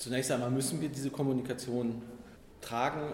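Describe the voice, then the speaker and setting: Medium pitch from a man, under noticeable background noise and audible room echo. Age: 50s. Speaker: communications executive. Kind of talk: interview.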